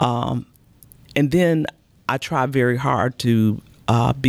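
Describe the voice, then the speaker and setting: The speaker has an American accent and ordinary pitch variation. The recording is very clean with a silent background, dry and close with no echo. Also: woman. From Chicago. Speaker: mayor hosting a podcast. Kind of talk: interview.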